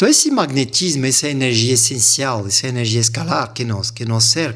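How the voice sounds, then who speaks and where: A man talks with a French accent. His voice is somewhat breathy. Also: very clean recording, silent background. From France, Montpellier. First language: French (speaking Portuguese). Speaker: language teacher. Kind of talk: interview.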